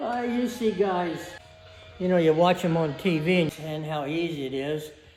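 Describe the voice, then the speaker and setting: A man speaks with a fairly high pitch. Noticeable background noise runs beneath his voice. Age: 80s+. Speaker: hobby car restorer. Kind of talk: casual interview answer in garage.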